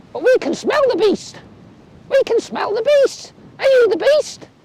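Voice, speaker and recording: In a put-on character voice, a woman squeaks at an extremely high pitch with lively intonation. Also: moderate pace. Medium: read story. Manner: several voices speaking together.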